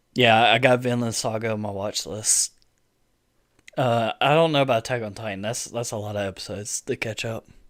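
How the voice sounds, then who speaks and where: Speaking fairly quickly with a Southern US accent, a man uses a medium pitch and fairly even intonation in a very clean recording with a silent background and a dry, close sound with no echo. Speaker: gaming and anime streamer. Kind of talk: live stream chat. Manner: casual, halting with fillers.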